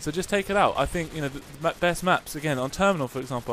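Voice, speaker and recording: The pitch of this male speaker moves in an ordinary way. He delivers his words at a very fast pace. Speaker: gaming commentator. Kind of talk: gameplay commentary. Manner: casual, rambling, hesitant.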